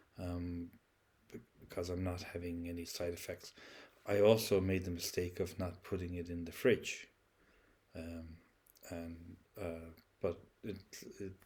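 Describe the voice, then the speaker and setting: With an Irish accent, a man talks at a fairly slow pace in a very deep, low pitch and monotone, flat intonation. His voice is somewhat breathy, with big swings in loudness and long, frequent pauses. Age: 60s. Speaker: vlogger. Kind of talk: casual monologue. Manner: halting, many fillers and repeats.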